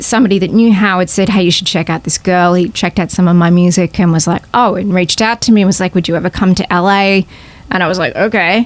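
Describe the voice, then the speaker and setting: The speaker is a woman with an Australian accent. Her pitch moves in an ordinary way. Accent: Australian accent, noticeable. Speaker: singer-songwriter. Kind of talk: podcast interview, casual chat. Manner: animated.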